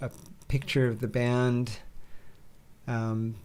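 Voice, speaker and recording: A man with an American accent speaks at a very slow pace. His medium-pitched voice stays flat and monotone. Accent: slight Western US accent, mostly suppressed. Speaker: musician. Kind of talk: casual chat.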